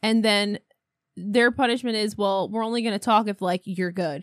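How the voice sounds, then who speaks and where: In an American accent and a normal speaking voice, a woman with a fairly high pitch talks at a moderate pace, recorded dry and close with no echo. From US, upstate New York (518 area). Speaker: podcast co-host. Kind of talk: casual chat. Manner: laughs often.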